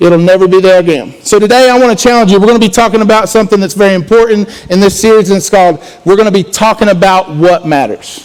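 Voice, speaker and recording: A man speaks loudly at a very fast pace with a high pitch and ordinary pitch variation. Noticeable background noise runs behind him. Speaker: student pastor. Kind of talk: sermon.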